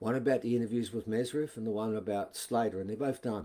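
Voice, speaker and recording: Delivered with an Australian accent, the voice has a dark, mellow tone and fairly even intonation. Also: man. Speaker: author and alternative history presenter. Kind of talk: casual video talk. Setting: live video stream.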